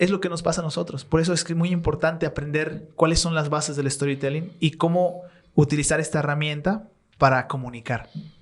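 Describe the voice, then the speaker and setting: Here a man speaks at a fairly high pitch. Noticeable background noise runs underneath. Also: fairly even intonation, fairly quick pace. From Bolivia. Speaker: content creator and storyteller. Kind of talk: podcast interview answer.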